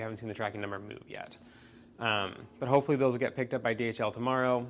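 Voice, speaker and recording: A man at a very fast pace, medium in pitch. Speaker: small hardware company founder. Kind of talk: casual update to camera. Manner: casual, hesitant with fillers.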